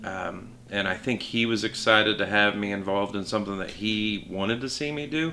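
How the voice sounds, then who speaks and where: A man talks with an American accent over noticeable background noise. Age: 40s. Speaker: amateur race car driver. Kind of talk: documentary interview. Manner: halting.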